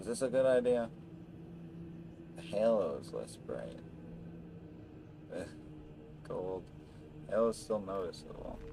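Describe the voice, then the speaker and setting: A man at a fairly slow pace, with long, frequent pauses, big swings in loudness, audible room echo and noticeable background noise. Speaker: gaming streamer. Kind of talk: casual gameplay commentary. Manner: soft-spoken.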